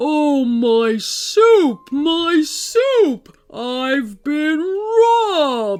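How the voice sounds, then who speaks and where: A put-on character voice at a very slow pace with hardly any pauses. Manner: alarmed, shouting.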